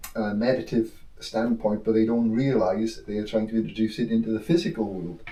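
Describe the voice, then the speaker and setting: Speaking at a moderate pace, a man with a dark, mellow tone holds a medium pitch and shows ordinary pitch variation. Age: 60s. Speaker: spiritual teacher. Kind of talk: casual chat. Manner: halting.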